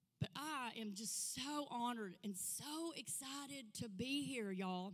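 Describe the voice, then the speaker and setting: An animated tone with lively intonation in an Arkansas accent, over noticeable background noise. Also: woman. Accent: Southern US (Arkansas). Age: 50s. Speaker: guest speaker, ministry leader. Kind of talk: testimony. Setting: church.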